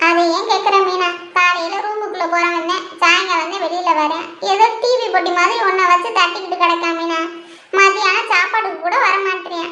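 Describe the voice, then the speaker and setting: A woman's cartoonish character voice, extremely high in pitch, with fairly even intonation. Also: moderate pace. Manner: sharp, huffy, grumbling.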